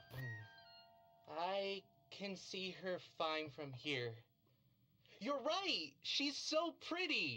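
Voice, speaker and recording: Someone delivers a put-on character voice at a middle pitch and a very slow pace. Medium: video game. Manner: hesitant, stammering.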